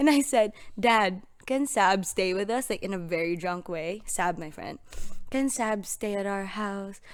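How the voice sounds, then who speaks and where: A woman with a slight Filipino accent speaks fairly slowly at a medium pitch, with ordinary pitch variation. The recording is very clean with a silent background. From Philippines. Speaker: podcast guest. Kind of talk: casual chat.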